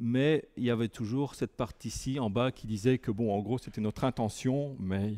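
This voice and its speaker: Speaking with a northern French accent, a man has a dark, mellow tone, ordinary pitch variation and a moderate pace, recorded dry and close with no echo in a very clean recording with a silent background. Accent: relatively French, from Lille border area. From Belgium, near Lille border. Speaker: tech conference speaker, software engineer. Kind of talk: technical talk. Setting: meetup room with audience. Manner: halting, many hesitations.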